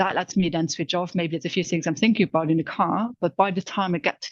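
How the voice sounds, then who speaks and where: With a Luxembourgish accent, a woman talks at a very fast pace with fairly even intonation, in dry, close sound with no echo. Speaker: corporate insights manager. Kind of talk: casual chat.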